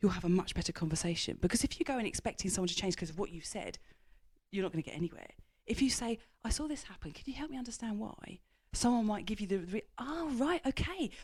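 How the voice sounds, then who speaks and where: Somewhat breathy, a woman talks very fast with very wide swings in pitch. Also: fairly high pitch for a woman. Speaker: business executive and author. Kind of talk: interview.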